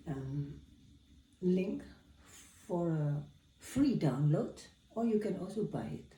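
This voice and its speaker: In a room with audible echo, a woman speaks very slowly with long, frequent pauses, her fairly low pitch carrying a dark, mellow tone, somewhat breathy, with lively intonation. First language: not Dutch or English. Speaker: piano teacher. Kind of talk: tutorial. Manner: halting.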